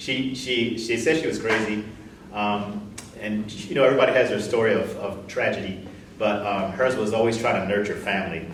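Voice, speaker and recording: A man with an American accent and ordinary pitch variation, in audible room echo with noticeable background noise. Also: fairly low pitch for a man, moderate pace. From US Midwest, Columbus Ohio. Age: 60s. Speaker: visual artist. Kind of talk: interview. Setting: live stream. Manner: halting, many repetitions.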